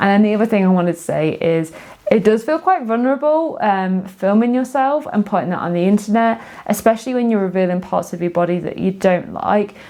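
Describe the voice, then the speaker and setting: A medium-pitched woman with an English accent and lively intonation. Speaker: sewing and knitting vlogger. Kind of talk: casual video monologue. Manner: fast; hesitant, many fillers.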